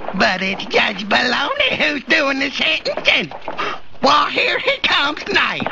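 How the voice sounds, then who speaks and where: A cartoonish character voice speaks at a fairly slow pace over clear background noise. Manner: cackling.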